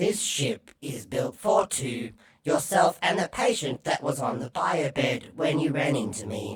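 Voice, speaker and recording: This is a put-on character voice with a low-to-middle pitch. The pace is fairly slow. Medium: audio drama. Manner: unemotional, pompous.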